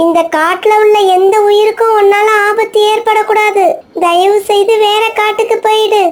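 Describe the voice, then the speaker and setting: A woman uses a cartoonish character voice at an extremely high pitch, with monotone, flat intonation, a fairly slow pace and very even loudness. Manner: brave, earnest.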